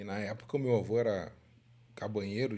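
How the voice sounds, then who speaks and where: A man's moderately paced speech rings with audible room echo. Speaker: horse race commentator. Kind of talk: podcast interview. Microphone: sitting a bit far from the mic.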